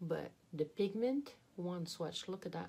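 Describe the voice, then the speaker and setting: A woman speaks with a slight French accent. Her pitch variation is ordinary. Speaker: beauty youtuber. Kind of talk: product unboxing review. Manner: animated.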